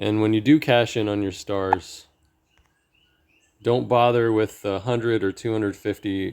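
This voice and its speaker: This man speaks at a fairly slow pace. His intonation stays fairly even. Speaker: gaming strategy video creator. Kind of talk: tutorial.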